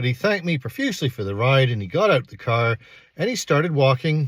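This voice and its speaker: This man sounds somewhat breathy, recorded with a dry, close sound and no echo. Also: very clean recording, silent background. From Canada. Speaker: astrology and paranormal youtuber. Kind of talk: personal storytelling. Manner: casual, conversational with fillers.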